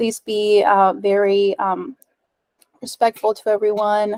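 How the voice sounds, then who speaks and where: In a Spanish accent, a woman speaks at a fairly slow pace and a fairly high pitch, recorded with a dry, close sound and no echo. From Ecuadorian American. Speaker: software developer and meetup presenter. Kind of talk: tech talk presentation. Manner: casual with frequent filler words.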